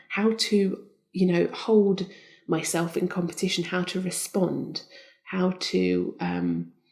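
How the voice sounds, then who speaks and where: A soft-spoken woman talks at a very slow pace. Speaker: Olympic skeleton champion. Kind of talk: interview answer.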